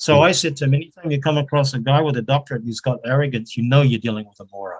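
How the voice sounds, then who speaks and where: Very fast speech comes from a man with a fairly high, somewhat breathy voice. His loudness swings widely, while his pitch varies in an ordinary way. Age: 70s. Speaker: retired academic with doctorate. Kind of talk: casual online interview.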